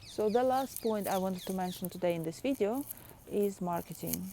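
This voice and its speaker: A woman with a non-native accent speaks at a medium pitch and moderate pace. Her tone is dark and mellow, and her intonation is lively. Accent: foreign. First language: not English. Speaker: artist and video blogger. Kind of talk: casual vlog talk. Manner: halting, many fillers and repeats.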